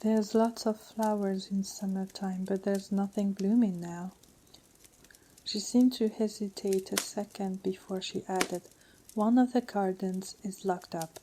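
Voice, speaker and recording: Soft-spoken and monotone, a woman talks at a medium pitch and a moderate pace in a flat intonation. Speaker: audiobook reader.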